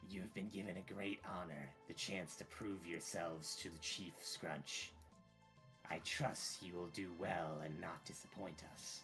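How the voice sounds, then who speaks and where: With music in the background, a man in a put-on character voice sounds strained, using a very deep, low pitch and fairly even intonation at a fairly slow pace. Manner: formal, authoritative.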